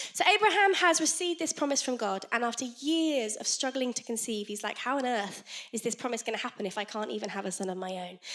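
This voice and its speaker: A woman's high, animated voice at a very fast pace, with very wide pitch swings and noticeable background noise. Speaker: children's ministry leader and preacher. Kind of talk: sermon. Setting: church.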